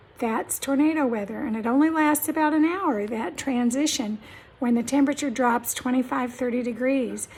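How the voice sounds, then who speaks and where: The voice moves at a moderate pace with ordinary pitch variation. Noticeable background noise runs underneath it. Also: woman, high pitch for a woman. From Kansas, US Midwest (Topeka). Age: 70s. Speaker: vlogger. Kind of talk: casual talk to camera.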